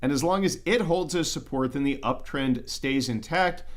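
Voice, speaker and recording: A man speaks, keeping a moderate pace. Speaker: precious metals investing YouTuber. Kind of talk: livestream market commentary. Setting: livestream. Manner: pauses a lot; throat clearing, repeating things.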